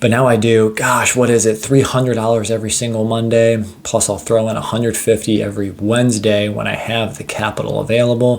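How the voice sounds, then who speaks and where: An enthusiastic man at a medium pitch speaks at a fairly quick pace. Noticeable background noise is present. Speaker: finance YouTuber. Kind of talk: casual investing vlog. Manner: fast.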